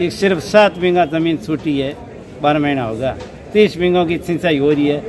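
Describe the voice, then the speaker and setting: Over noticeable background noise, a man talks at a fairly high pitch. His pitch variation is ordinary. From Rajasthan, Barmer area. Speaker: farmer with a complaint. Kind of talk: interview.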